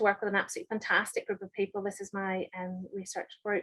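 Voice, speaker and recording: The sound is dry and close with no echo as a woman talks with a Northern Irish accent. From Northern Ireland, Holywood. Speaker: chemistry professor. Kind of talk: lecture. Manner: halting, many fillers.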